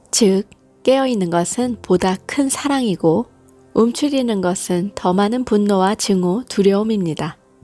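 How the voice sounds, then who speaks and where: Over background music, a woman talks at a fairly slow pace and medium pitch, with ordinary pitch variation and very even loudness. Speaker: hypnosis and guided meditation channel host reading affirmations. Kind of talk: guided hypnosis / affirmation reading.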